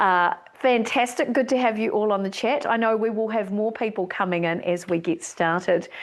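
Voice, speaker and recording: With a slight New Zealand accent, a woman talks at a moderate pace and a fairly high pitch, with ordinary pitch variation, very even loudness and hardly any pauses. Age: middle-aged. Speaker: speaker organisation leader, keynote speaker. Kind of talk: online welcome presentation. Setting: live Zoom broadcast from home studio. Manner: enthusiastic, animated.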